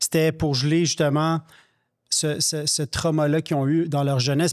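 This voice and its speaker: Speaking at a moderate pace, a man uses a fairly high pitch. The background is quiet. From Quebec. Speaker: podcast co-host. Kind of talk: casual interview. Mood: calm, earnest. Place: studio. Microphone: studio mic.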